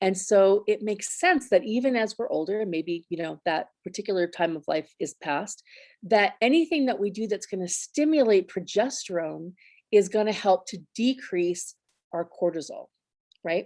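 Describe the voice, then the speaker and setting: In a very clean recording with a silent background, a woman speaks in an ordinary speaking voice at medium pitch, with lively intonation and a moderate pace. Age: 50s. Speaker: essential oils business owner presenting on health. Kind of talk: presentation. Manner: casual, with many fillers.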